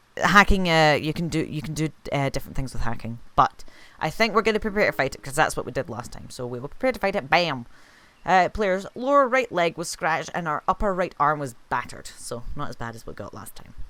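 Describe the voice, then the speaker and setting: The speaker has a Scottish accent and a fairly quick pace. The recording is very clean, with a silent background. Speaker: streamer playing a video game. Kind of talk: live gameplay commentary. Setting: live stream. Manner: casual, with filler words.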